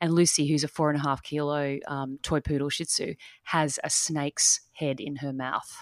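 A woman speaks in a very deep, low pitch with an Australian accent. Her intonation is monotone and flat, and her pace is moderate. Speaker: life and business strategist, dance teacher. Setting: remote call from Australia.

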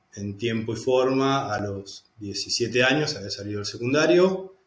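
The man's voice sits at a medium pitch and sounds somewhat breathy. His pitch varies in an ordinary way. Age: 40s. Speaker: lawyer turned architecture student. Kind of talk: interview testimony.

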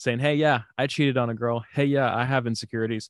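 The man has a medium pitch and a slight Southern US accent. His intonation is fairly even, and the sound is dry and close with no echo. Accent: slight Southern drawl. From Houston, Texas. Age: 20s. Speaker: musician. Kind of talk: casual interview.

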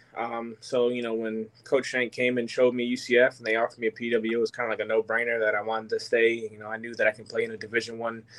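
At a very fast pace, a man with an American accent speaks at medium pitch in a monotone, flat intonation. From New York area, later Tampa. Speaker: former college football player. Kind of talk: interview.

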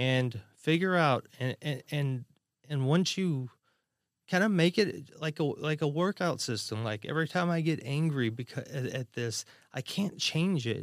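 In a dry, close sound with no echo and on a very clean recording with a silent background, a man with an unremarkable speaking voice talks at a fairly slow pace, fairly high in pitch with ordinary pitch variation. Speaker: podcast host. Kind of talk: casual chat.

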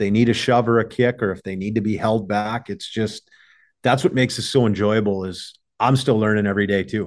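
In an ordinary speaking voice, a man talks fairly quickly at a fairly low pitch. His intonation is fairly even, and the background is quiet. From Minnesota Iron Range, US. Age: 30s. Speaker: hockey goalie coach. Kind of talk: casual interview.

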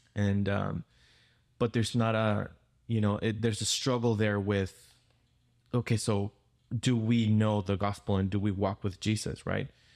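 Speaking with a Spanish accent at a fairly low pitch, a man keeps a moderate pace, a monotone, flat intonation and very even loudness, with long, frequent pauses, on a very clean recording with a silent background. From Peru. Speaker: pastor. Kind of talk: casual interview.

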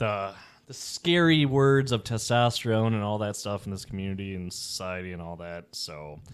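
A normal speaking voice from a man with an American accent, fairly low in pitch, at a moderate pace, with lively intonation and big swings in loudness. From Chicago, US Midwest. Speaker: police officer and personal trainer. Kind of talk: casual chat.

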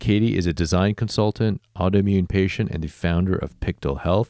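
A man with an American accent speaks at a very deep, low pitch and a moderate pace, with ordinary pitch variation. The sound is dry and close with no echo, on a very clean recording with a silent background. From Illinois, then Texas. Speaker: podcast host. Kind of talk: interview.

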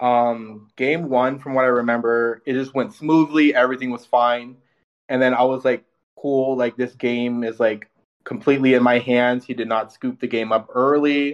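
A man talks in a normal speaking voice with a General American accent. His pitch is medium and his intonation fairly even. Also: moderate pace. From Washington state, US Pacific Northwest. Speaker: card game player. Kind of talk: casual chat.

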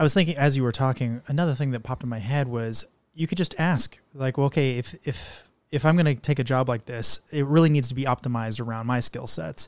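This man talks at a very fast pace, his medium pitch moving in an ordinary way. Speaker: podcast host. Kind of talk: interview. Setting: studio.

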